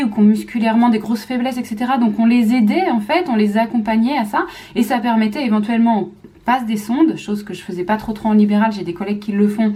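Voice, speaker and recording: A woman with a fairly high pitch speaks fairly quickly over noticeable background noise. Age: 30s. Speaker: physiotherapist and mother vlogger. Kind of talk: casual talk to camera. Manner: fast; hesitant with many fillers.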